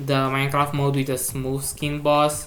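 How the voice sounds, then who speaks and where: The speaker has a non-native accent and talks at a fairly slow pace. Music plays in the background. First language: not English. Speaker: gaming video creator. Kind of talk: video game commentary. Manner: halting.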